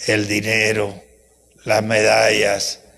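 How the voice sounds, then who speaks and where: With audible room echo, a man talks at a very slow pace. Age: 80s+. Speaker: professor. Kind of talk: lecture. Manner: animated.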